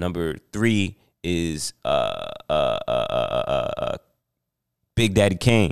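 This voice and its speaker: Very slowly, a man with an American accent speaks in a dry, close sound with no echo. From New Jersey. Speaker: rapper. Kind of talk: casual interview. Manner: halting, repeats words.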